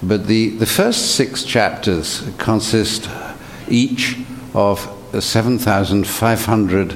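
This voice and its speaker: Against noticeable background noise, a man with a British accent talks at a fairly low pitch with ordinary pitch variation. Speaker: translator and professor. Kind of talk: panel discussion. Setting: stage with audience.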